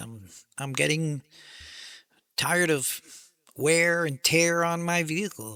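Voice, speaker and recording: In a very clean recording with a silent background and a dry, close sound with no echo, a man speaks in a fairly high pitch with a bright, sharp tone. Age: 60s. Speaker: military veteran and independent creator. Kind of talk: casual monologue. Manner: halting with fillers.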